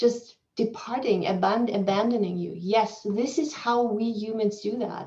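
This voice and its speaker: Her pitch is fairly high and varies in an ordinary way. A woman with a non-native accent speaks at a fairly slow pace. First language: not English. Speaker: keynote speaker, psychology professor. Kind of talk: academic Q&A answer. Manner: halting, with repetitions and fillers.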